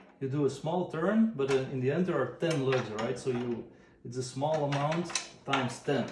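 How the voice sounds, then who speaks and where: A man's fairly high-pitched voice with a non-native accent, with audible room echo and noticeable background noise. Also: ordinary pitch variation, moderate pace. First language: not English. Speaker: drum tuning tutor. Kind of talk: tutorial. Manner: relaxed, hesitant with fillers.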